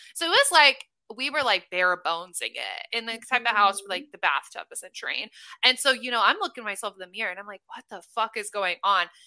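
A woman with an American accent speaks at a fairly quick pace in a fairly high, bright, sharp voice, her animated tone and lively intonation paired with big swings in loudness in a dry, close recording with no echo. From US Midwest (Omaha, Nebraska). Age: 20s. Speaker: manifestation coach. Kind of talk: casual chat.

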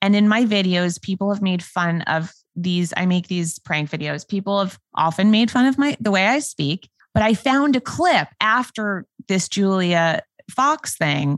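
Speaking at a fairly slow pace, a woman uses lively intonation at a medium pitch, the sound dry and close with no echo. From New York. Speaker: prank video creator. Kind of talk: casual chat.

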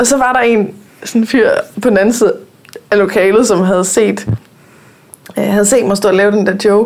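A woman's fairly even intonation comes through over noticeable background noise. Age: 20s. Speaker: podcast host. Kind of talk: casual chat. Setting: studio.

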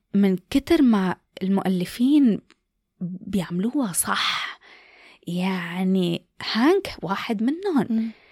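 A woman speaks at a very slow pace with a medium pitch and lively intonation. Her voice is somewhat breathy, in a very clean recording with a silent background. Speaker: podcast host. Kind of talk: casual chat.

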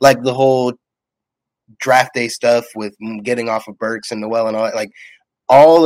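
The sound is dry and close, with no echo. A man with a medium pitch talks at a moderate pace with fairly even intonation. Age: 20s. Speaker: sports fan podcast guest. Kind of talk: casual chat.

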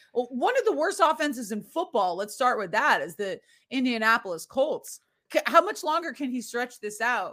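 A woman speaks in a high, bright, sharp voice with very wide pitch swings and big swings in loudness. Her pace is moderate, and the recording is very clean with a silent background. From Boston area, Massachusetts. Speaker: sports podcast host. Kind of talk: casual chat.

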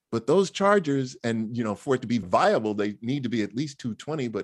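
A man with a New York accent, medium pitch, a fairly quick pace and lively intonation. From New York City (Queens). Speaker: motoring organization spokesman. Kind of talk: interview.

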